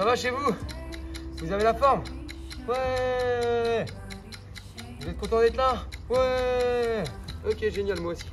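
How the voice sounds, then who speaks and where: The delivery is very slow, with long, frequent pauses and big swings in loudness. Music plays clearly in the background. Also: man. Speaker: fitness coach. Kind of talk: workout instruction. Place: street.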